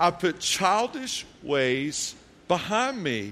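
Very wide pitch swings in a man's raised, projected voice. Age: 40s. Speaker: pastor. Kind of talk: sermon. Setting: church.

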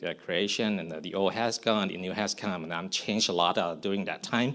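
With a Thai accent, a man speaks at a fairly low pitch with ordinary pitch variation. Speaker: missionary. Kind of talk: testimony. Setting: church service. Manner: halting.

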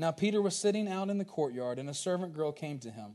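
A man's lively intonation comes through against a quiet background. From Virginia, Culpeper. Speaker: pastor. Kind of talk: sermon. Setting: church.

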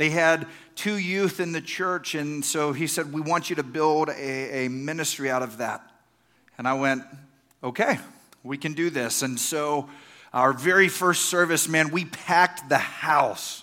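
With a Texan accent, a man talks at a fairly slow pace and a fairly high pitch, with a bright, sharp tone and ordinary pitch variation. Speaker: pastor. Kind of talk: sermon.

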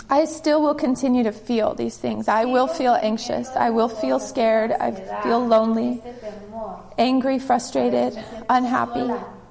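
Fairly slow speech from a woman, ordinary pitch variation, noticeable background noise behind her. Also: fairly high pitch for a woman. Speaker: church member. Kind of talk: testimony.

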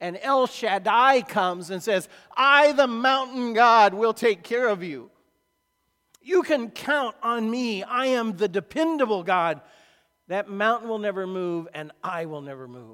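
With an American accent, a man raises and projects a high, bright, sharp voice at a fairly slow pace, his intonation lively and his loudness swinging widely. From US Midwest, rural Illinois. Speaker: pastor. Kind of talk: sermon. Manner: casual, conversational with fillers.

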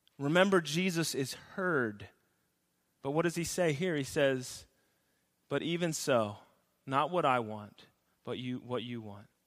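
With long, frequent pauses, a man speaks at a fairly slow pace and a fairly high pitch, his intonation lively and the room echo audible. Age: 30s. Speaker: pastor. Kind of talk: sermon. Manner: hesitant, frequent filler words.

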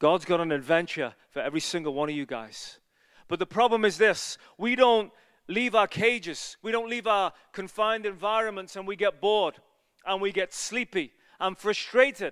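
A man with a Liverpool accent speaks at a high pitch with lively intonation. The sound is dry and close with no echo, in a very clean recording with a silent background. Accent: Liverpool (Scouse) English. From England, Liverpool. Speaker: evangelist preacher. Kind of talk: sermon. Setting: church. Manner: fast talker; animated.

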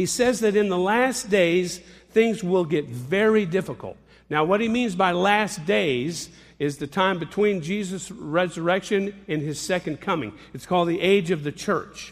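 Pitch variation is ordinary. The recording is very clean, and the background is silent. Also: man, high pitch for a man, moderate pace. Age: 60s. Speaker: pastor. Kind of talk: sermon.

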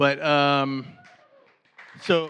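Over a quiet background, a man speaks at a fairly high pitch with a bright, sharp tone. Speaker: pastor. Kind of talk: prayer and introduction at church service. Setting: church.

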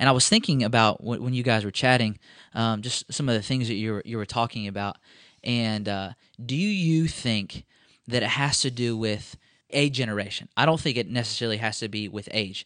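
Against a quiet background, a man with an ordinary speaking voice talks at a fairly quick pace, his medium pitch showing ordinary pitch variation. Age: 20s. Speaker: college pastor. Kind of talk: casual chat. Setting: office.

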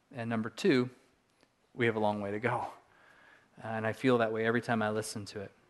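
Speaking very fast in a Californian accent, the voice stays monotone and flat, broken by long, frequent pauses against a quiet background. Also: man, medium pitch for a man. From Southern California. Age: 40s. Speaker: pastor. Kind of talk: sermon.

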